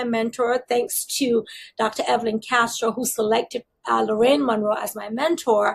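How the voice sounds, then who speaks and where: Here a woman speaks with a slight Barbadian accent. Her pitch is high. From Barbados. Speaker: school district leader. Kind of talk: interview.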